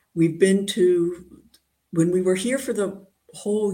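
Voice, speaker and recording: A woman talks with an American accent. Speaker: mathematician. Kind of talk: interview. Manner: halting.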